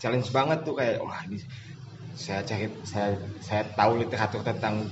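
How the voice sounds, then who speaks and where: A man's moderate-paced speech carries audible room echo amid noticeable background noise. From Bandung, West Java. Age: 20s. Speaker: football assistant coach. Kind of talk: casual interview. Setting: outdoors.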